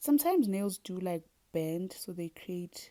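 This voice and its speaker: In a South African accent, a woman with a fairly low pitch and a dark, mellow tone talks at a very slow pace with lively intonation. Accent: South African (Zulu) English. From South Africa (Zulu). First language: Zulu. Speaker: beauty and fitness vlogger. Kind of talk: casual tutorial vlog. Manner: chatty, animated.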